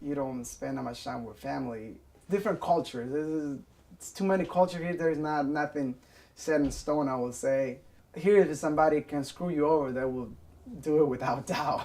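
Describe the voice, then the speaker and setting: This man's voice sits fairly high, with a dark, mellow tone and ordinary pitch variation. He speaks at a fairly quick pace, and his loudness swings widely. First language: Spanish. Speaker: restaurant worker. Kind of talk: interview testimony.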